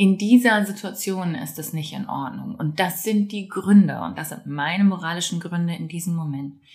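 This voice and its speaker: Noticeable background noise sits behind a woman talking. Her pitch is medium, her pace moderate, and her pitch variation ordinary. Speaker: parenting podcast host. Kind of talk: personal reflective monologue. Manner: conversational, some hesitations.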